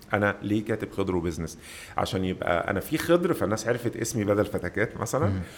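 A man talks in an ordinary speaking voice, pitched fairly low, at a fairly quick pace. His intonation is lively. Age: 40s. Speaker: web entrepreneur. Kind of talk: long-form interview.

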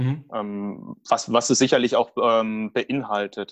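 A man speaks very slowly. The sound is dry and close, with no echo. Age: 30s. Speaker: project manager. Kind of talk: interview. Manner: halting.

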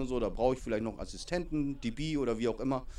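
A man talks at medium pitch. His pitch variation is ordinary. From northern Germany (Lower Saxony, then Hamburg). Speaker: youth American football coach. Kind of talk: interview. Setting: outdoors at a training session.

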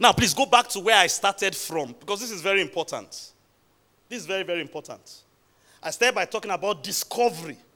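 Raised and projected, a high-pitched man's voice races at a very fast pace with an animated, bright, sharp tone, lively intonation and big swings in loudness. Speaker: preacher. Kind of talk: sermon. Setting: church. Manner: exhortatory.

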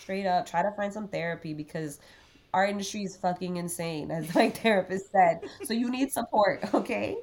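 The delivery has an animated tone and ordinary pitch variation. It moves at a moderate pace. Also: woman, medium pitch for a woman. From Miami, Florida. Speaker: sound engineer. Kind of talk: casual chat.

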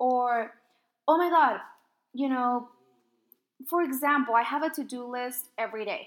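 A high-pitched woman's voice at a moderate pace, with ordinary pitch variation and long, frequent pauses. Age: 20s. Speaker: podcast host and coach. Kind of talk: casual monologue. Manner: animated.

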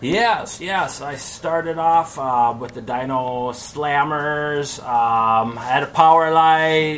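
Over noticeable background noise, a man with an American accent and fairly high pitch speaks at a very slow pace with hardly any pauses, big swings in loudness and ordinary pitch variation. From Minnesota, US Midwest. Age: 40s. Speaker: professional BMX flatland rider. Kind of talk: casual interview.

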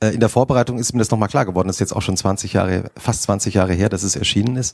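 Talking at a very fast pace, a man keeps a fairly even intonation. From Hesse. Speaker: magazine editor and moderator. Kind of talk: on-stage interview. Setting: stage with audience.

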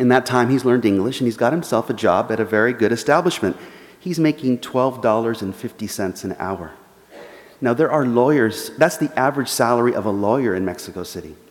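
A man speaks with an American accent at a medium pitch. There is noticeable background noise. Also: ordinary pitch variation, fairly quick pace. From Los Angeles, US. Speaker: journalist and author. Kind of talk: lecture; audience Q&A. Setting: church forum with live audience.

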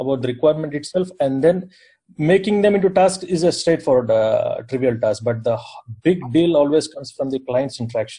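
A man's somewhat breathy voice with an Indian accent, fairly high in pitch, dark and mellow in tone, with ordinary pitch variation. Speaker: software architect and company founder. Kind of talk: group discussion.

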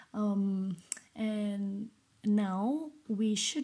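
A woman speaks at a medium pitch, somewhat breathy. Her tone is dark and mellow. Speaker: podcast host. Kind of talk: solo commentary. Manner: halting.

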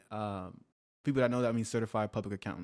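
Heard on a very clean recording with a silent background, a man speaks very fast at a medium pitch with ordinary pitch variation. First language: not English. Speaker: podcast host. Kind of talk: casual chat.

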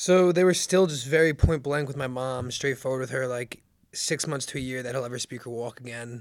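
In an American accent, a man with a normal speaking voice talks at a fairly quick pace and medium pitch, with ordinary pitch variation and big swings in loudness. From New Jersey. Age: 20s. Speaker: author and brain injury survivor. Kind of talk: casual interview, personal story.

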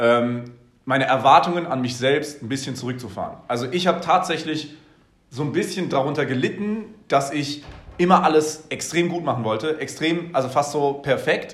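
With audible room echo and noticeable background noise, a man speaks at a fairly high pitch. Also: ordinary pitch variation, moderate pace. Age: 20s. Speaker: business consultant. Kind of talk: casual chat.

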